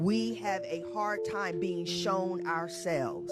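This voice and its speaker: Music plays in the background while a woman speaks at a fairly slow pace. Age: old. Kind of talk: talk on relationships.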